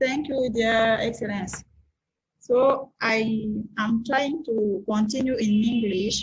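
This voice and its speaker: A woman with a fairly high voice speaks very slowly, her loudness very even. Her intonation is fairly even, and room echo is audible. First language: French. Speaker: scientist presenter. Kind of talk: conference presentation.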